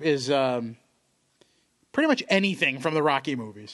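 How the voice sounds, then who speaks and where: A man has a normal speaking voice, fairly high in pitch, with lively intonation. He talks at a fairly quick pace against a quiet background. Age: 30s. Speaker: sports podcast co-host. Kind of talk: casual chat. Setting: studio.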